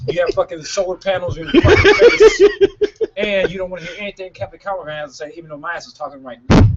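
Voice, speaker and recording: Behind a man speaking very fast, background noise is noticeable. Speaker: wrestler. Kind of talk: casual chat. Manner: loud.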